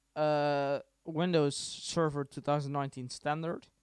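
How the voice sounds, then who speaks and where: Recorded dry and close with no echo, a man with a fairly high pitch speaks slowly-ish, at a fairly slow pace, in a monotone, flat intonation. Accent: Dutch. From Netherlands. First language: Dutch. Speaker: tech tutorial streamer. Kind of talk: tutorial. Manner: casual, hesitant with many fillers.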